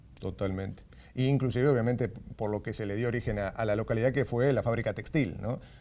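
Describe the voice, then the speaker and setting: A man with an Argentine accent speaks at a very fast pace and a medium pitch. His tone is dark and mellow, his intonation fairly even, on a very clean recording with a silent background. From San Nicolás, Buenos Aires province, Argentina. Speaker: radio announcer, journalist and writer. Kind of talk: interview answer.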